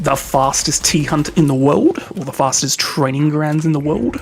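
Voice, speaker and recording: Quiet speech with an Australian accent comes at a fairly slow pace. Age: 20s. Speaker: game streamer. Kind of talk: live stream chat with gameplay. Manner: casual, chatty; kept quiet, late at night.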